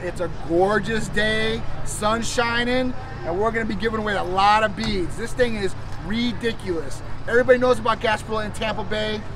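A man speaks at a high pitch and a fairly quick pace with fairly even intonation, his dry voice carrying no echo over faint background music. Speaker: clinic host. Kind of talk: casual promotional vlog chat. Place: street. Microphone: camera far.

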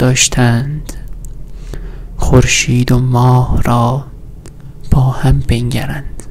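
Soft-spoken and very slow, a man talks at medium pitch with a monotone, flat intonation against light background noise. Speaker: ASMR creator. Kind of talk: sleep story reading of poetic prose. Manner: soft-spoken, slow. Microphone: studio mic.

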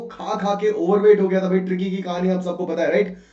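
An animated man amid audible room echo. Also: quiet background. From India. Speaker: online English teacher. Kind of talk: live online class with quiz. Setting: live online session. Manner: animated, code-switching Hindi and English.

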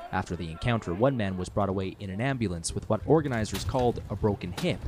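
This man talks fairly quickly while noticeable background noise runs underneath. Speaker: news reporter. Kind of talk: field news report. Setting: outdoors.

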